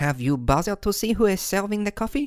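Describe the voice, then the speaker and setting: A put-on character voice races along at a very fast pace in a very clean recording with a silent background. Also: female-sounding voice. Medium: read story. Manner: calm, composed.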